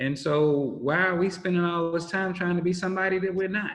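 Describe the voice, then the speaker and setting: A man speaks loudly at a high pitch. Audible room echo surrounds his voice. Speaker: minister and social services official. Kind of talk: interview conversation.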